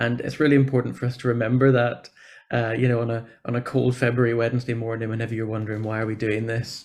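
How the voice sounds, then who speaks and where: Against a quiet background, a man with a Northern Irish accent speaks at a very fast pace with monotone, flat intonation. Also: medium pitch for a man. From Northern Ireland. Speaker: church programme officer for social justice. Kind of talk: conference talk. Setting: video call.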